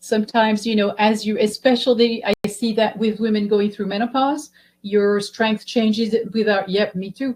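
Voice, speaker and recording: A somewhat breathy woman's voice, fairly high in pitch, at a moderate pace. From Belgium. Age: 60s. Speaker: physical therapist. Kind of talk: webinar presentation.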